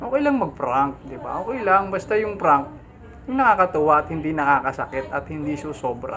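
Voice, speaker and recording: Fairly quick delivery from a man with a fairly high pitch. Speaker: YouTube reaction vlogger. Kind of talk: reaction video commentary. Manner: animated.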